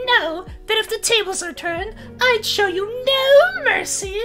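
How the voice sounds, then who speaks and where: A man puts on a character voice at an extremely high pitch while music plays clearly in the background. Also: moderate pace. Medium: role play. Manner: exaggerated, villainous.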